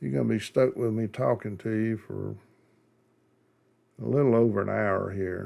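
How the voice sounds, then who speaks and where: Recorded very cleanly against a silent background, a man with a dark, mellow tone speaks with ordinary pitch variation and long, frequent pauses. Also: fairly low pitch for a man, moderate pace. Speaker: model rocket hobbyist. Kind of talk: tutorial. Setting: voiceover recorded after the video. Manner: casual, rambling with fillers.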